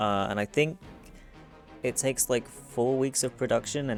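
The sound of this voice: With music playing in the background, a man talks at a moderate pace with ordinary pitch variation.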